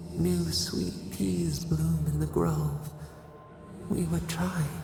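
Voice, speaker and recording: Amid clear background noise and a clear echo, a put-on character voice with a very deep, low pitch speaks at a very slow pace. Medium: video game. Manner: cryptic, fragmented, poetic.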